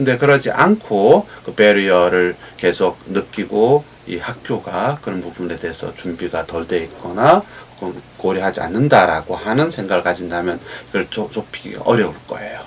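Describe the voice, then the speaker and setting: A man with a very deep, low pitch talks at a very fast pace with lively intonation. His loudness swings widely over noticeable background noise. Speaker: professor. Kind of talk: interview.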